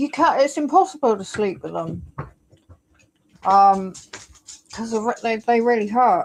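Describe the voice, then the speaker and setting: A woman with an English accent, fairly high in pitch with very wide swings, at a fairly slow pace with long, frequent pauses. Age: 60s. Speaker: live streamer. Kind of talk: casual livestream chat. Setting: home livestream on laptop. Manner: halting. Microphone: new laptop.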